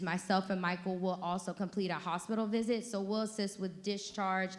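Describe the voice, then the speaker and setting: A woman's medium-pitched, flat monotone at a fairly quick pace, with audible room echo. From Georgia. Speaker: social worker. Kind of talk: conference presentation.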